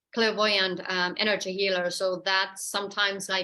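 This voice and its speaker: A woman with a Finnish accent speaks at a moderate pace in a bright, sharp tone. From Finland. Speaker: therapist and energy healer. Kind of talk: online presentation. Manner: halting.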